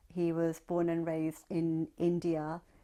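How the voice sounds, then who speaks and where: Speaking very slowly in a fairly low voice, a woman with a British accent is heard on a very clean recording against a silent background. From Southwest London, England. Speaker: oral history interviewee, writer. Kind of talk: oral history testimony.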